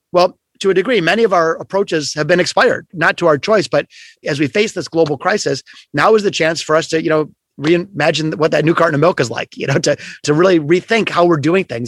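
Recorded with a dry, close sound and no echo, a man talks very fast at a high pitch with ordinary pitch variation. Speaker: entrepreneur and keynote speaker on creativity. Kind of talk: interview conversation.

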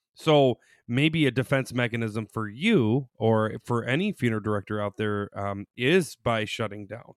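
In a very clean recording with a silent background, a man with an ordinary speaking voice talks at a medium pitch and moderate pace. His pitch variation is ordinary, and the sound is dry and close with no echo. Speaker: psychologist. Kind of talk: casual chat.

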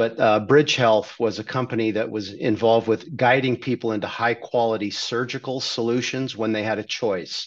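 At a moderate pace, a man with an American accent speaks in an unremarkable speaking voice. His medium pitch holds fairly even intonation. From California, Redondo Beach. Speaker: healthcare company CEO. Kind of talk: interview.

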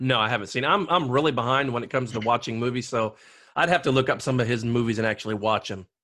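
Loud, bright and sharp, the voice races at a very fast pace with ordinary pitch variation. The background is quiet. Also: man, medium pitch for a man. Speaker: podcast host. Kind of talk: casual chat about a movie. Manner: loud talker.

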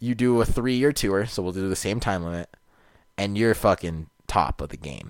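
An unremarkable speaking voice at a moderate pace with ordinary pitch variation, recorded very cleanly against a silent background. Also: man. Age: 20s. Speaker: podcast co-host. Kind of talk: casual chat.

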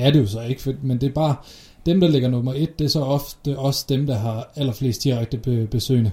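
A man speaks at a medium pitch with a dark, mellow tone. His pace is moderate and his intonation fairly even. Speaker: podcast co-host on SEO. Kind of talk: casual chat. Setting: shared office, separate mics across room. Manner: loud, almost shouting across room.

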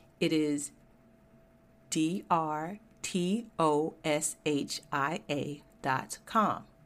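An American accent at a very slow pace, with long, frequent pauses and ordinary pitch variation, on a very clean recording with a silent background. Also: woman, very deep, low pitch for a woman. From Georgia, US South. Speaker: podcast host, engineer. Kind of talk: solo podcast monologue. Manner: casual, conversational.

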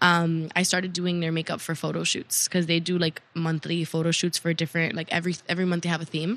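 A woman with a Miami accent talks very fast in a fairly low pitch, her intonation flat and monotone, with hardly any pauses. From Miami (born in Cuba). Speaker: makeup artist and cosmetics entrepreneur. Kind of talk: casual interview chat. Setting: hotel.

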